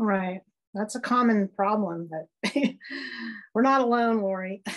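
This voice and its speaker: Speaking at a fairly slow pace, a woman with a plain, everyday voice keeps a medium pitch and ordinary pitch variation. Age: 60s. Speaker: guest sharing personal experience. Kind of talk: casual chat.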